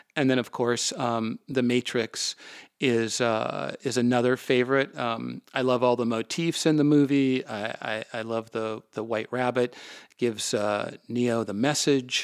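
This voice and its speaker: Using an ordinary speaking voice, a man with an American accent speaks at a fairly slow pace, medium pitch and fairly even intonation on a very clean recording with a silent background. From US Midwest, Minneapolis. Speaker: podcast host and author. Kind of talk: interview.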